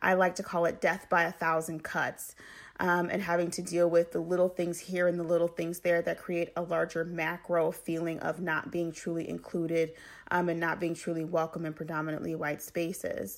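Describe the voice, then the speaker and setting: Her pitch fairly low, a woman with an American accent speaks at a moderate pace with monotone, flat intonation. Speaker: podcast host. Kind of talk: solo educational monologue.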